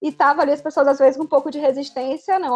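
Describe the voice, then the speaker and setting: A woman speaks with a high pitch. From Bahia, Brazil. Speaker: business consultant and entrepreneur. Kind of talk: casual chat.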